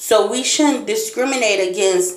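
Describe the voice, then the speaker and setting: Fairly slow speech from a woman amid audible room echo and noticeable background noise. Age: 30s. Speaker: blind motivational speaker, vlogger. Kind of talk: personal vlog monologue.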